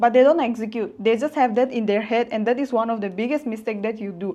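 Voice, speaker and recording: Speaking at a very fast pace, a woman keeps a fairly high pitch and fairly even intonation. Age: 20s. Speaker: online business coach. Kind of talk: motivational vlog talk. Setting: self-filmed with phone front camera.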